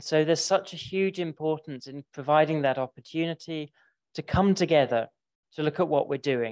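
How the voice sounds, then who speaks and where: With a London accent, a man speaks at a moderate pace in a fairly high pitch, with ordinary pitch variation over a quiet background. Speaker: library association director. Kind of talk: conference talk.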